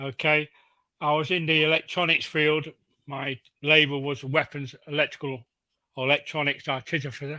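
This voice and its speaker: A bright, sharp voice speaks at a moderate pace with monotone, flat intonation and long, frequent pauses. The recording is very clean and dry, with a close sound, no echo and a silent background. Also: man, fairly high pitch for a man. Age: 70s. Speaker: navy veteran. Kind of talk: casual chat.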